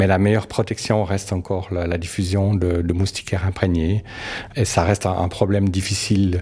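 A man's very deep, low voice at a fairly quick pace, monotone and flat, over noticeable background noise. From Switzerland. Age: 60s. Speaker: biologist. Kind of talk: interview. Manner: halting, frequent repetitions.

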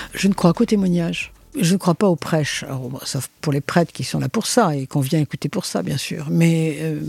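A woman with a fairly low pitch and vocal fry speaks at a moderate pace with ordinary pitch variation, the sound dry and close with no echo. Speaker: philosopher and author. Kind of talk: interview.

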